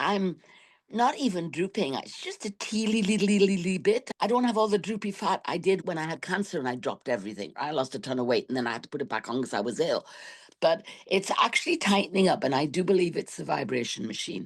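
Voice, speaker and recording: With vocal fry and very wide pitch swings, a woman speaks at a very fast pace over a quiet background. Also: medium pitch for a woman. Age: 60s. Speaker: class member sharing weight loss story. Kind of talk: casual chat.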